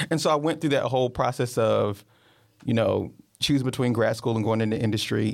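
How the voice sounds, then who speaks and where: On a very clean recording with a silent background, a man talks at a very fast pace with ordinary pitch variation. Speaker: career advisor for students. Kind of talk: panel discussion.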